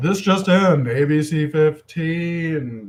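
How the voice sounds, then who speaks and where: In a put-on character voice pitched fairly high, a man drawls his words out very slowly. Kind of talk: formal broadcast. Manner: polished, curated, broadcast tone.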